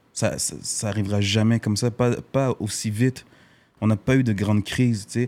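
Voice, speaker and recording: A fairly low-pitched man's voice at a moderate pace, monotone with flat intonation, on a very clean recording with a silent background. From Montreal, Quebec (born in Haiti). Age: young. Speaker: actor. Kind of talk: casual interview.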